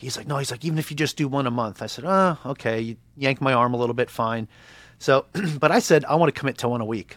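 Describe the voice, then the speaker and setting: A fairly high-pitched man with an American accent has an unremarkable speaking voice. The sound is dry and close with no echo, in a very clean recording with a silent background. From Long Island, New York. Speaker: podcast host and real estate agent, Navy veteran. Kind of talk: casual interview chat.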